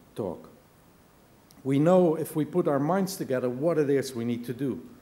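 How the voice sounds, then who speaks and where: Audible room echo surrounds a man speaking with a dark, mellow tone and ordinary pitch variation. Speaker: business leader, keynote speaker. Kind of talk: conference keynote speech. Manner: animated.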